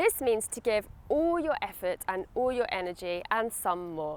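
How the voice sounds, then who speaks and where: In a British accent, the speaker talks at a moderate pace with very wide pitch swings. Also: woman. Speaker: English teacher. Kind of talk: English lesson to camera. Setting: outdoors at a stadium. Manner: friendly, clear.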